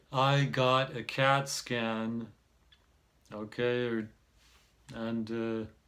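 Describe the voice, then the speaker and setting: A man speaks at a very slow pace with long, frequent pauses and fairly even intonation. His medium-pitched voice has a bright, sharp tone. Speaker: self-help vlogger. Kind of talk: casual monologue. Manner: halting.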